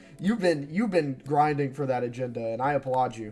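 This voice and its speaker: With music in the background, a man talks at a moderate pace, his medium pitch showing ordinary variation. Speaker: live-streamer reacting to manga chapter. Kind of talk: live reaction stream, casual chat. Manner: animated, excitable.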